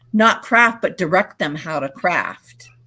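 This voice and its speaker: With a New England accent, a woman speaks in an animated tone. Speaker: vintage reseller and live stream host. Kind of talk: casual chat on live stream.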